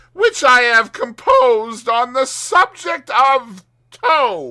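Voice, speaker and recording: This is a put-on character voice, squeaky in quality. The pitch sits fairly high. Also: very slow pace. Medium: read story. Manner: smug, mocking.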